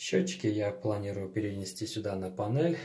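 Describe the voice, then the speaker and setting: A man speaks at a fairly slow pace with a fairly low pitch. His tone is dark and mellow, and somewhat breathy. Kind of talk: tutorial. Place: bathroom. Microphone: phone near.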